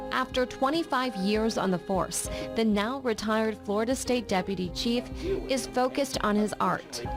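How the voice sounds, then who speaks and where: Music plays in the background as a woman speaks at a moderate pace with hardly any pauses, her fairly high voice very even in loudness and ordinary in pitch variation. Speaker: television news anchor. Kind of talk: voiceover narration for a news feature.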